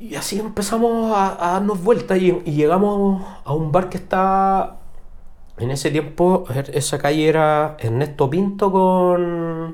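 In a Chilean accent, a man talks at a very slow pace with a high pitch, with audible room echo. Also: ordinary pitch variation. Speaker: rock musician. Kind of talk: casual chat.

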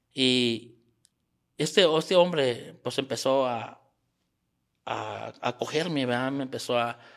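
A man of medium pitch with a Mexican accent. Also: very clean recording, silent background. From Mexico, Sierra Gorda. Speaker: small business owner. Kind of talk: interview. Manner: halting.

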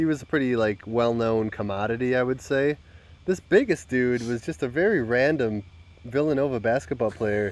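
At a moderate pace, a man talks in a normal speaking voice of medium pitch with ordinary pitch variation. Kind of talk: casual chat.

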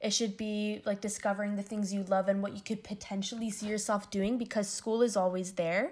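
With a Canadian accent, the speaker goes at a fairly quick pace with hardly any pauses and a monotone, flat intonation. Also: woman, medium pitch for a woman. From Windsor, Ontario, Canada. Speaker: university student. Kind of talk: interview.

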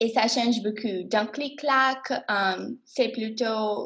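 This woman has a fairly high pitch and fairly even intonation. She talks at a very slow pace. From Miami, Florida. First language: English (speaking French). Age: 20s. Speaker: college student. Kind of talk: class podcast discussion. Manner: hesitant, many fillers.

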